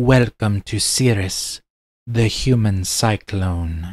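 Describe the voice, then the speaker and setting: A man in a put-on character voice talks at a very slow pace. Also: fairly low pitch for a man. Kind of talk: dramatic story reading. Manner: hushed, quiet.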